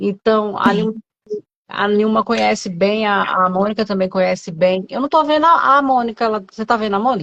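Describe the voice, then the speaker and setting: Fairly quick speech from a woman, fairly high in pitch, its pitch variation ordinary. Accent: Brasília. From Brazil, Brasília. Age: 40s. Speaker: pastor. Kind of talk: testimony in casual interview.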